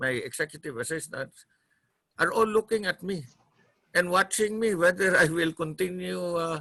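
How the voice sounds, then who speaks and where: A man's bright, sharp, high voice, dry and close with no echo, over a quiet background. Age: 60s. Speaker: city mayor. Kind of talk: online panel discussion. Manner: halting.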